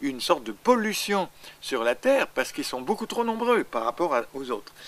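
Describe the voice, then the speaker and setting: A man speaks, his pitch rising and falling across a very wide range. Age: 80s+. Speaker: astrologer. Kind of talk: interview. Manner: halting.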